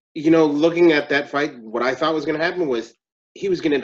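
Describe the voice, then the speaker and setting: A man with a fairly high pitch speaks in a plain, everyday voice with ordinary pitch variation. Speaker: MMA podcast panelist. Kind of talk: casual chat.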